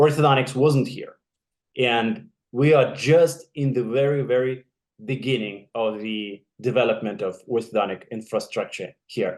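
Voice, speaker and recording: A man with a Russian accent, medium pitch, ordinary pitch variation and a fairly slow pace. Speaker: orthodontist. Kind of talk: casual chat. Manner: halting.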